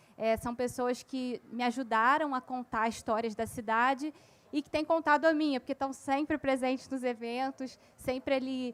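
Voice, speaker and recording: At a moderate pace, a woman talks in a high pitch. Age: young. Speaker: author and local historian. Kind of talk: panel discussion. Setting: stage at literary festival with audience.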